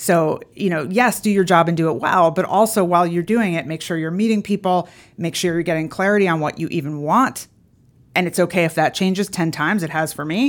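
A woman speaks with an American accent at a fairly low pitch and a fairly quick pace. Her pitch variation is ordinary, and the recording is very clean with a silent background. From US Northeast, Philadelphia. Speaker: radio host and entrepreneur. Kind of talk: interview conversation. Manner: talkative.

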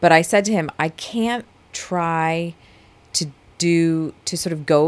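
A woman's fairly low voice with an American accent and ordinary pitch variation. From New Jersey, US. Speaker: manager at an internet company. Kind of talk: interview.

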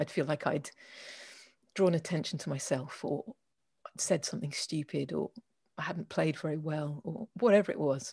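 A woman's very deep, low pitch, dark and mellow in tone and somewhat breathy, with ordinary pitch variation and long, frequent pauses. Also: moderate pace, dry, close sound with no echo, quiet background. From England. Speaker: organization owner, writer, jazz musician. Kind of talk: interview.

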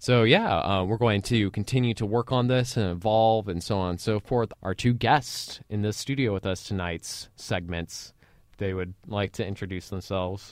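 On a very clean recording with a silent background, a man speaks in a normal speaking voice, fairly low in pitch, at a moderate pace with ordinary pitch variation. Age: 20s. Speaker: student radio host. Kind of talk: casual chat. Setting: studio.

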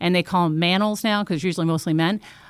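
On a very clean, dry, close recording with a silent background and no echo, a woman uses a normal speaking voice at a medium pitch with ordinary pitch variation. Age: 50s. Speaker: company CEO. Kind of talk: interview. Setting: company office.

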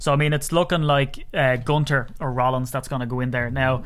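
An Irish accent marks this man's speech. His pitch is medium and his intonation fairly even. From Ireland. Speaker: sports podcast host. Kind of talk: casual chat.

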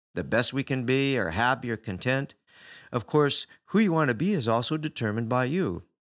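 A natural reading voice is heard. The pitch rises and falls in an ordinary manner.

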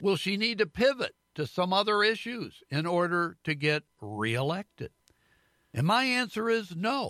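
A man's raised, projected voice, high in pitch and bright and sharp in tone, with lively intonation at a fairly slow pace, dry and close with no echo on a very clean recording with a silent background. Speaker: radio host. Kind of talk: scripted commentary and interview.

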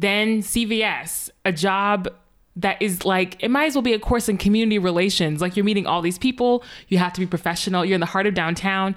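A woman speaks at a fairly quick pace with an American accent, her pitch medium. The recording is very clean, with a silent background. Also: ordinary pitch variation. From northern US. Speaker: podcast host. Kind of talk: interview conversation; scripted introduction.

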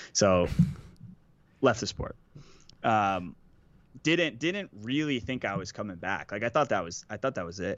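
With an American accent, a man speaks at a fairly slow pace in a fairly low voice, leaving long, frequent pauses. His intonation is lively. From Boston, US. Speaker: pro paintball player. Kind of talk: casual chat.

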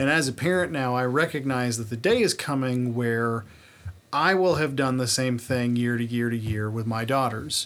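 He has a plain, everyday voice with a medium pitch. His speed is moderate, and his pitch varies in an ordinary way. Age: 30s. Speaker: podcast host. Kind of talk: casual comedic chat, profane.

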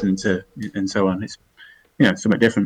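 Speaking with an English accent, a man uses a fairly low pitch and fairly even intonation. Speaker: podcast co-host. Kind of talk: casual chat. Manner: halting.

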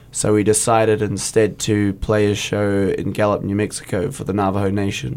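A man with a New Zealand accent, hardly any pauses and fairly even intonation. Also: fairly low pitch for a man, moderate pace. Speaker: metal guitarist and lead vocalist. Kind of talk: casual interview. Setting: studio.

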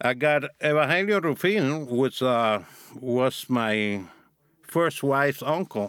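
With a Cuban accent, a man speaks at a very slow pace and medium pitch, his loudness very even and his intonation lively. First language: Spanish. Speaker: former drug smuggler. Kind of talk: interview.

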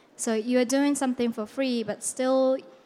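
A woman with a Japanese accent and monotone, flat intonation. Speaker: writer and film festival organizer. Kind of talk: presentation. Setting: stage with audience.

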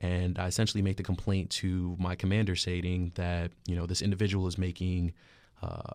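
A man with an American accent talks very fast in a very deep, low pitch and a monotone, flat intonation. The recording is very clean, with a silent background. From Queens, New York. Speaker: army officer and recruiter. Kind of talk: interview.

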